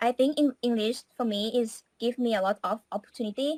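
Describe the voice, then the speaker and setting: A woman with a Thai accent, fairly high pitch and ordinary pitch variation, at a fairly slow pace, in a dry, close sound with no echo. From Thailand. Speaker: English student. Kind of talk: interview.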